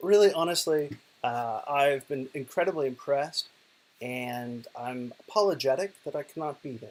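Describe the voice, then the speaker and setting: A man with an Oklahoma accent talks at a moderate pace and a fairly high pitch. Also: ordinary pitch variation, big swings in loudness. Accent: American (Oklahoma). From US, Oklahoma. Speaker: digital poet and professor. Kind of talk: recorded conference presentation. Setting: lying in bed, video recording.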